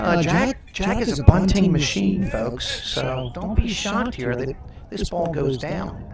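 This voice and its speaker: There is noticeable background noise and audible room echo. A man with a high voice speaks at a fairly slow pace. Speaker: high school baseball livestream announcer. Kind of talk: live commentary. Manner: animated.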